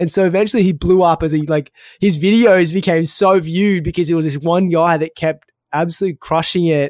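In a very clean recording with a silent background and a dry, close sound with no echo, a man speaks with an Australian accent. His pitch is high with ordinary variation, and his pace is fairly quick. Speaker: podcast host and food entrepreneur. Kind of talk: casual interview.

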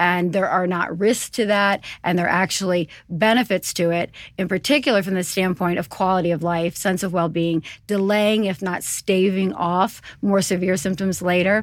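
A woman with an American accent has an ordinary speaking voice at medium pitch. Her intonation stays fairly even in a very clean recording with a silent background. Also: moderate pace. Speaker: urologist. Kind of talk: expert interview.

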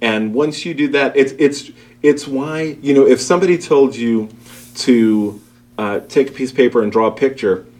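Delivered at a moderate pace, a normal speaking voice in an American accent shows ordinary pitch variation. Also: man. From Brooklyn, New York. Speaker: school principal. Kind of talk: interview.

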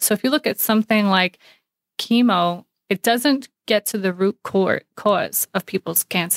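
Here is a woman with an American accent, an unremarkable speaking voice, medium pitch and ordinary pitch variation, talking at a fairly slow pace. The very clean recording has a silent background and a dry, close sound with no echo. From New York City. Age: 30s. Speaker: paramedic and cancer patient. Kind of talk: interview conversation.

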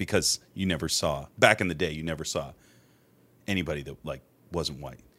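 A man's very deep, low voice with vocal fry and ordinary pitch variation, in an American accent, on a very clean recording with a silent background. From Massachusetts, north of Boston. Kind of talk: testimony. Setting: host's home. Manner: animated.

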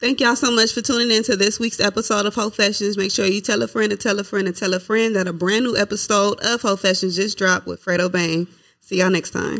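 A raspy, put-on character voice with a fairly high pitch rattles along at a very fast pace. There are hardly any pauses. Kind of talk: professional announcer, podcast sign-off. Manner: upbeat, polished.

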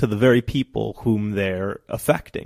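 In a normal speaking voice, a man talks at a fairly slow pace with ordinary pitch variation, in a very clean recording with a silent background. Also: dry, close sound with no echo. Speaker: real estate lawyer. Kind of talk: interview answers. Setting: radio studio.

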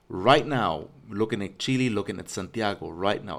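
A man speaks in a plain, everyday voice, fairly low in pitch, with ordinary pitch variation. His pace is moderate, and the recording is very clean with a silent background. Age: 40s. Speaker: podcast host. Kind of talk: casual chat.

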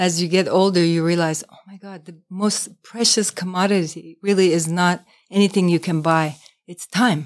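A woman with a normal speaking voice talks at a moderate pace in a fairly low pitch. Her intonation is fairly even, while her loudness swings widely. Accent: American. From New York. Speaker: tea shop owner. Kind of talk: interview.

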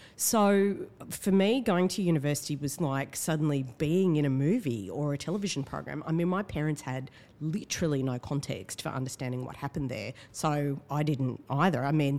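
Talking at a fairly quick pace, a woman with an Australian accent has a very deep, low voice. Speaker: writer and activist. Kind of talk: casual chat. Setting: studio.

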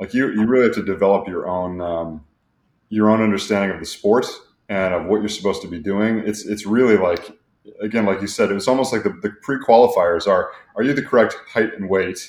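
A man with a normal speaking voice and a fairly low pitch talks at a fairly quick pace with fairly even intonation. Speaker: podcast host. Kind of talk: casual interview chat.

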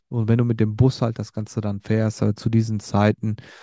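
This man's voice sits fairly low, with a dark, mellow tone. The background is quiet. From Germany, Sauerland region (Werdohl/Lüdenscheid). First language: Turkish (speaking German). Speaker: podcaster telling his life story. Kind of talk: personal storytelling monologue. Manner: hesitant, many fillers and repetitions.

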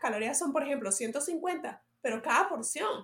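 Lively intonation at a fairly slow pace. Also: woman. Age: 40s. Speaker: health and fitness podcast host. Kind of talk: solo podcast monologue, advice. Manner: hesitant, many fillers.

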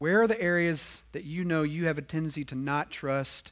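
This man has an ordinary speaking voice, fairly high in pitch, with lively intonation. The recording is very clean, with a silent background. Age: 40s. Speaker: preacher. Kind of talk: sermon.

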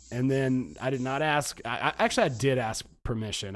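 Here a man speaks with a Southern US accent. His pitch varies in an ordinary way. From US South, Georgia. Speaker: podcast host. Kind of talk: casual chat.

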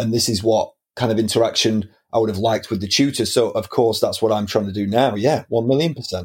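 Very fast and somewhat breathy, a man with a Lancashire accent speaks with fairly even intonation in a very clean recording with a silent background. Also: medium pitch for a man. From northern England, Preston, Lancashire. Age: 30s. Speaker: film teacher and aspiring filmmaker. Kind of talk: casual interview chat.

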